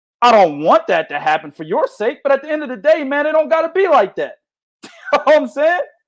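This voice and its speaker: In a very clean recording with a silent background, a man talks loudly and in an animated way, his pitch swinging very widely. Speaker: boxing podcast host. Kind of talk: casual chat. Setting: livestream.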